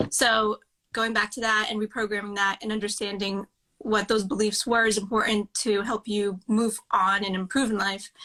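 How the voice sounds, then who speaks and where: A woman speaks at a moderate pace with a fairly high pitch. Her intonation stays monotone and flat. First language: Russian. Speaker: mindset coach. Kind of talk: casual interview chat. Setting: livestream.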